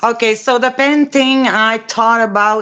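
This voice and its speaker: Speaking at a very slow pace, a woman with a strong French accent uses a fairly high pitch and ordinary pitch variation. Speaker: amateur painter. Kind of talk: casual group video chat.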